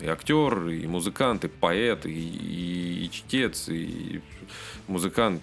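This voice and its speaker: Spoken at a very slow pace with ordinary pitch variation, the voice has music playing behind it. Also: man, very deep, low pitch for a man. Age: 30s. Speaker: rock podcast host. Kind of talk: casual chat.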